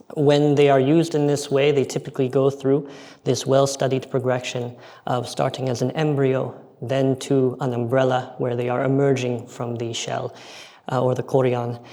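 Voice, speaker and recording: Speaking at a moderate pace with an American accent, a man holds a flat, monotone delivery at medium pitch while the room echo is audible. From United States. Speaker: aquaculture researcher. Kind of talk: conference presentation.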